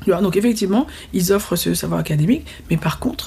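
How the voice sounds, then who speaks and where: Vocal fry at a moderate pace. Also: woman. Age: 40s. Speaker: entrepreneurship trainer and teacher, former lawyer. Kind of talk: casual interview. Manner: halting.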